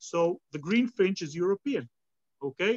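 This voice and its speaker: A man speaks with lively intonation in an Israeli accent. The sound is dry and close, with no echo. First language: Hebrew. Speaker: bird ringer and guide. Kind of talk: live outdoor demonstration. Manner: halting.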